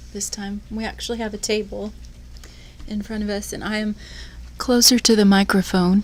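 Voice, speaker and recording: A soft-spoken, somewhat breathy woman at a moderate pace, with monotone, flat intonation, big swings in loudness and long, frequent pauses. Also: medium pitch for a woman. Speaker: yarn shop podcast host. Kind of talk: casual chat.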